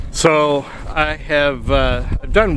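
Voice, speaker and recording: A man speaks with clear music in the background. The sound is dry, with no echo. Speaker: photographer vlogger. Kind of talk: casual vlog chat. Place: waterside.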